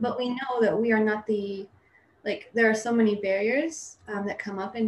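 At a fairly quick pace, the woman talks in a normal speaking voice whose fairly high pitch shows ordinary variation. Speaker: missionary. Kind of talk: interview.

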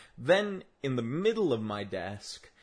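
Against a quiet background, a man with an Australian accent speaks at a fairly slow pace with lively intonation. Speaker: solo podcaster. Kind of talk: casual monologue. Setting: home room with desk. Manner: rambling with frequent fillers.

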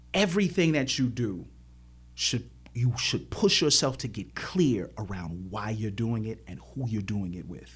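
With vocal fry and a fairly low pitch, a man speaks at a fairly slow pace, his intonation lively and his loudness swinging widely. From Chicago, South Side. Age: 40s. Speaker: professor and activist. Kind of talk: interview conversation.

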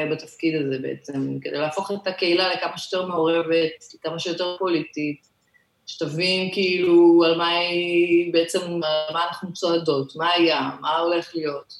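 A woman talks at a moderate pace in an unremarkable speaking voice. Her pitch is fairly low, with ordinary pitch variation. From Israel, Ashdod. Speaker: LGBTQ community activist and municipal strategy manager. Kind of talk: interview.

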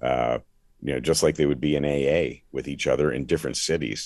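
A man with an American accent talks at a fairly quick pace, his voice very deep and low with vocal fry. His pitch moves in an ordinary way. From Philadelphia area, US. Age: 60s. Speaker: former sports radio host, now pastor. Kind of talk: testimony.

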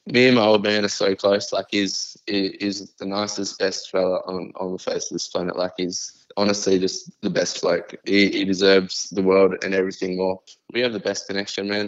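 At a moderate pace with hardly any pauses, a man delivers his lines in a fairly low, monotone, flat voice. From Queensland, Australia. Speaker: rapper. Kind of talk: casual interview. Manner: halting.

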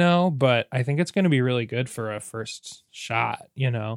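A man with an ordinary speaking voice, moderate pace and ordinary pitch variation, in a dry, close sound with no echo and a very clean recording with a silent background. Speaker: podcast host. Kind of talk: casual chat, comedic banter. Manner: playful, chatty.

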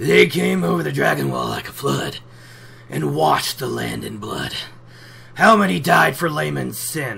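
A put-on character voice from a man, very deep and low, raspy, at a moderate pace over light background noise

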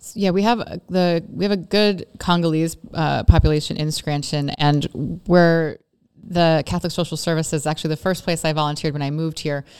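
A normal speaking voice with an American accent, fairly even intonation and a fairly quick pace. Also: woman, fairly low pitch for a woman. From Oregon, US West Coast. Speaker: city mayor. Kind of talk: interview before a live audience. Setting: room with live audience.

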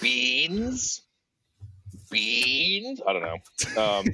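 A man puts on a character voice at a medium pitch. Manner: dismissive, nerdy.

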